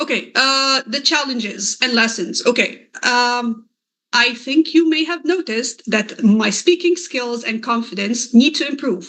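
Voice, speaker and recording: Bright and sharp in tone, a woman's high-pitched voice moves at a fairly slow pace with ordinary pitch variation. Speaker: SEO consultant and course creator. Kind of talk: presentation talk. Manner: halting.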